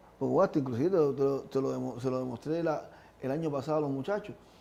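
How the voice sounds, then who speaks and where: Fairly quick pace with ordinary pitch variation. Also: man. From Cuba, Havana (Lawton). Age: 60s. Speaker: retired Paralympic athlete. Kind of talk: interview. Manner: halting, many repetitions.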